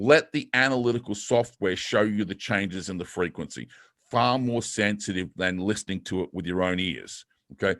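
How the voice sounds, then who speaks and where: A man's voice, fairly low in pitch, with ordinary pitch variation. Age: 50s. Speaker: fitness coach. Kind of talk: webinar presentation. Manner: fast.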